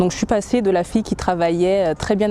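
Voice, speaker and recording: Woman's medium-pitched voice with ordinary pitch variation, over noticeable background noise. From French Antilles. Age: 30s. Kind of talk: testimony. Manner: halting, many hesitations.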